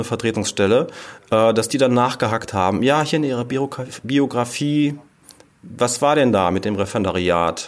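With lively intonation, a man speaks at a medium pitch in an unremarkable speaking voice. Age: 40s. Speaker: former special-needs teacher turned musical writer and editor. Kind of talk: interview.

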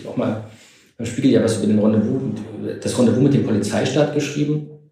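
Fairly even intonation with audible room echo. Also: man. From East Germany. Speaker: historian. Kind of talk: interview.

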